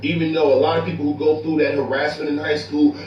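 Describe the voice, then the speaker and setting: Audible room echo and noticeable background noise both fill this clip. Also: man. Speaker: online commentator. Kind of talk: casual chat. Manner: loud; animated.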